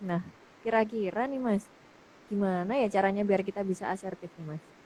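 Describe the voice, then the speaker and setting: At a very fast pace, a woman speaks in a medium pitch with ordinary pitch variation. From Yogyakarta, Java. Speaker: webinar moderator. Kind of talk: webinar interview.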